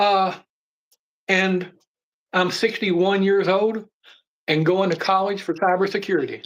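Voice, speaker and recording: In a quiet background, a high-pitched man with an American accent speaks at a fairly slow pace. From Appalachia, US. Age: 60s. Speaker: snake keeper and mental health advocate. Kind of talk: casual chat.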